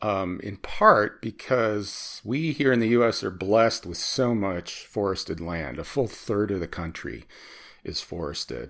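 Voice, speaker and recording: This man speaks with an American accent in an ordinary speaking voice, his pitch fairly low and his pace fairly slow. The recording is very clean, with a silent background. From US Midwest (Chicago). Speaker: environmental economics researcher. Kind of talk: interview.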